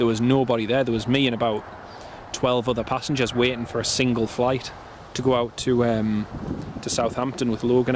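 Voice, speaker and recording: Over noticeable background noise, a man of medium pitch talks at a fairly quick pace in a monotone, flat intonation. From northern England, Northumberland (Alnwick). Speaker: planespotting live streamer. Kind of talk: live stream commentary, casual chat.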